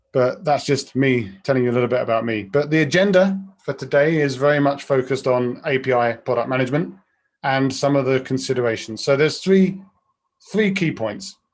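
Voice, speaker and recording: The man's voice sits at a medium pitch, with ordinary pitch variation and a fairly quick pace. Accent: British. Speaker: product director, webinar speaker. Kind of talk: webinar presentation. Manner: fast.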